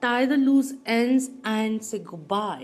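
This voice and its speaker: A woman speaks at a high pitch with ordinary variation. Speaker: tarot card reader. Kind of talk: pick-a-card tarot reading.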